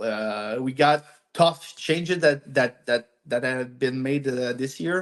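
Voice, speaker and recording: A man's medium-pitched voice with a French accent. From Quebec, Montreal. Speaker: amateur hockey team captain. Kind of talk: podcast interview. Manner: halting.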